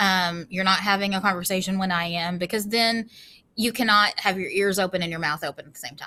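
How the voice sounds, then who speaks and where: A woman's bright, sharp tone at a medium pitch, fairly quick in pace with fairly even intonation, on a very clean recording with a silent background. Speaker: school teacher. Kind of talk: classroom rules presentation to students. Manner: casual, many filler ums; loud.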